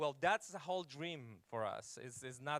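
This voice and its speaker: With a non-native accent, a man talks at a moderate pace, his pitch fairly high and his intonation lively. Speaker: pastor. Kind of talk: church talk. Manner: halting.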